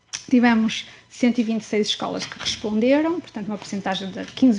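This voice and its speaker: Noticeable background noise sits behind a woman with a fairly high pitch speaking at a moderate pace. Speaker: academic researcher. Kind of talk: research presentation. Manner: soft-spoken; halting, many fillers. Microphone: too quiet, too far from the mic.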